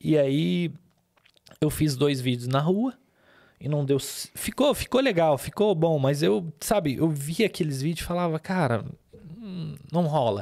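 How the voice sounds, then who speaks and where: A man's fairly high-pitched, dark, mellow voice with lively intonation at a fairly slow pace, with long, frequent pauses, in a very clean recording with a silent background. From Lebanon. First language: Arabic (speaking Portuguese). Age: 30s. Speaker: businessman and podcast host. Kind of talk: testimony. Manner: halting.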